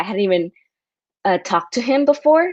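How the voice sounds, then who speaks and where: A woman with an American accent talks with lively intonation. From US, San Diego. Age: 20s. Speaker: writer. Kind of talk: casual interview chat. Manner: casual, many fillers.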